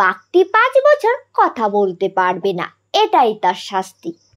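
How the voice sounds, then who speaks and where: A woman at a medium pitch uses a cartoonish character voice at a fairly slow pace. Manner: authoritative.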